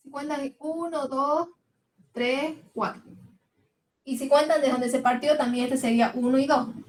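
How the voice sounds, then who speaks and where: A high-pitched woman at a fairly slow pace, with fairly even intonation, big swings in loudness and long, frequent pauses. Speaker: chemistry teacher. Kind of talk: lecture.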